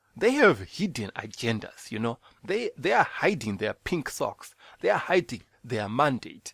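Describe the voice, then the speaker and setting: A man with a Zimbabwean accent, medium pitch, very wide pitch swings and a fairly slow pace, in a dry, close sound with no echo. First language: Shona. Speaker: podcast host. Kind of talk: bible teaching; casual monologue.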